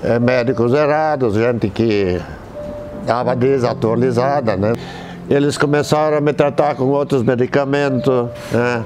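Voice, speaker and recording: A man speaks at a fairly slow pace with very even loudness and ordinary pitch variation. Music plays in the background. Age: 70s. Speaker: hospital psychiatry outpatient. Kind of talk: patient testimonial interview. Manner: hesitant, conversational. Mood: calm, grateful. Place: garden. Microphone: lapel.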